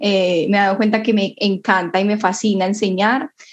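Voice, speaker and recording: A woman talks at a moderate pace and a medium pitch. Hers is an unremarkable speaking voice. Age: 20s. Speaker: student. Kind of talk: casual conversation.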